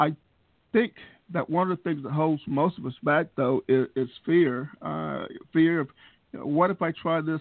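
With a Southern US accent, a man speaks at a fairly slow pace and a fairly high pitch, using ordinary pitch variation. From US South. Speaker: podcast host. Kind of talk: casual interview. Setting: video call.

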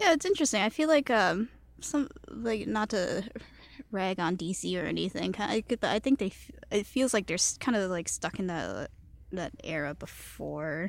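A woman with a Cantonese accent speaks at a medium pitch and a fairly slow pace, with lively intonation, vocal fry, and long, frequent pauses. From Chicago, US. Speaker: guest. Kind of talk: casual chat.

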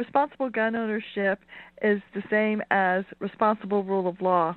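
A woman talks at a moderate pace. Her medium-pitched voice shows ordinary pitch variation. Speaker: caller. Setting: phone call. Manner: halting, many fillers.

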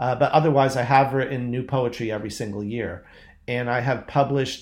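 This man has a plain, everyday voice with an American accent, medium pitch, a moderate pace and fairly even intonation. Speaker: poet and magazine editor. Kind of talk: interview.

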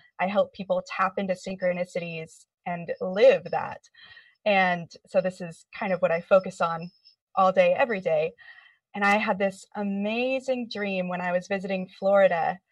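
Somewhat breathy speech carries fairly even intonation. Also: woman, medium pitch for a woman, moderate pace. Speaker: clinical hypnotherapist. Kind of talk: casual group discussion. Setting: video call.

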